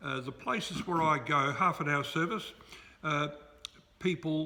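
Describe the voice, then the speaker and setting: A man with an Australian accent at a moderate pace. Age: 70s. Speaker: retired pastor. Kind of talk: interview. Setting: church.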